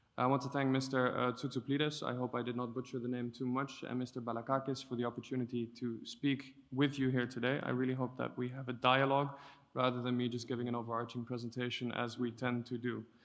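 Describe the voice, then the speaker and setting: A man talks at a very fast pace. His medium-pitched voice stays in a monotone, flat intonation. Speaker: EU policy officer. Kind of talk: conference talk. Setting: conference stage with audience and interpreters.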